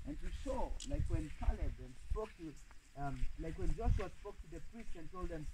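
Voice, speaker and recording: Noticeable background noise accompanies a man speaking at a moderate pace. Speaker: pastor. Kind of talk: fervent outdoor prophetic prayer, decreeing and declaring over land and water. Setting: outdoors. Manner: rhythmic, impassioned declarations punctuated by repeated 'Yes' and 'Oh, yes'; intense and commanding, with rising exclamations. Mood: fervent, solemn. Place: waterside.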